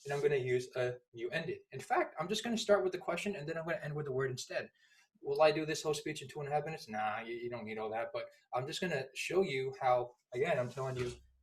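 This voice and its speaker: A man's fairly high, somewhat breathy voice at a very fast pace, with lively intonation. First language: not English. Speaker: public speaking instructor. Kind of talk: tutorial. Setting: at home. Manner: animated.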